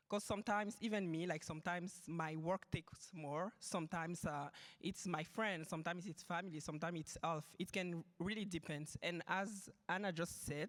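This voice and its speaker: A woman with a French accent speaks fairly quickly in a fairly low voice, her intonation fairly even and hardly any pauses breaking it up. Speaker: panelist, systems engineer and graduate student. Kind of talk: panel discussion.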